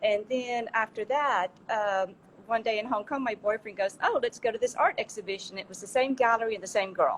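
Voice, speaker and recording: A woman talks at a fairly quick pace with a strong Southern US accent and a fairly high pitch. Her pitch variation is ordinary, but her loudness swings widely. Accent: strong Southern American. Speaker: art dealer and gallery founder. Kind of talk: interview. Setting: Instagram Live.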